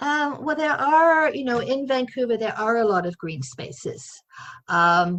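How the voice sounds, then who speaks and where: A woman speaks at a high pitch and a fairly slow pace. Her pitch swings very widely. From London, England. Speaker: senior podcast participant. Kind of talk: group discussion. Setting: video call.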